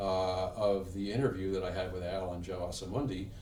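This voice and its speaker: A man with a fairly low pitch speaks in a flat monotone. His voice is somewhat breathy, with audible room echo. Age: 60s. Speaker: insurance and retirement planning advisor. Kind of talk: TV interview.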